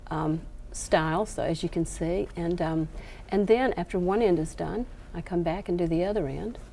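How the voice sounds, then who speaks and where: Speaking with a Southern US accent, a woman keeps a moderate pace and a fairly low pitch with ordinary pitch variation. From US South. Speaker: quilting author. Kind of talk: TV craft demonstration. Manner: hesitant, many fillers.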